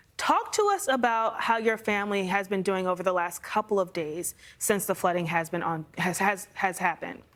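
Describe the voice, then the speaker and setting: An unremarkable speaking voice with fairly even intonation and hardly any pauses. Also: woman, medium pitch for a woman, moderate pace. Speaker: TV meteorologist. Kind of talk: TV news interview.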